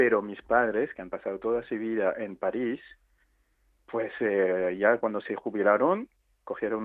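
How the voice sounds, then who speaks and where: A medium-pitched man's voice at a fairly slow pace. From Réunion (French island). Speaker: photographer. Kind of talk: radio interview.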